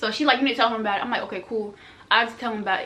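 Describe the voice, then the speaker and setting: At a very fast pace, a woman speaks with fairly high pitch. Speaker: vlogger. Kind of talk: storytime vlog. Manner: animated.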